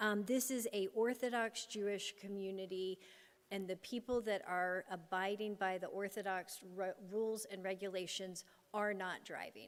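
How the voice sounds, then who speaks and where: With an ordinary speaking voice, a woman keeps her medium-pitched delivery fairly even in intonation. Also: moderate pace. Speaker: applicant's representative. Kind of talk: rebuttal at public hearing.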